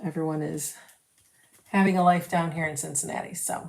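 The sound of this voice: A woman with a low pitch and a slightly mellow tone speaks with vocal fry and fairly even intonation, with audible room echo.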